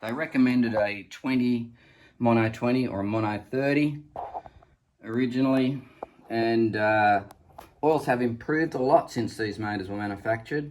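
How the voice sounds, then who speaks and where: A man with an Australian accent speaks at a medium pitch and moderate pace. His pitch variation is ordinary, and he takes long, frequent pauses. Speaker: boat owner showing engine. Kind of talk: tutorial. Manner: casual, halting with fillers.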